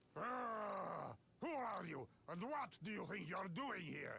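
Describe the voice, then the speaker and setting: Over clear background noise, a man puts on a character voice, raised and projected, high-pitched for a man and very slow. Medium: video game. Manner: broken English, indignant.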